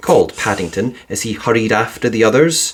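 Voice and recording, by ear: Fairly low in pitch, a man's voice has a slightly husky edge. He speaks at a fairly quick pace with lively intonation.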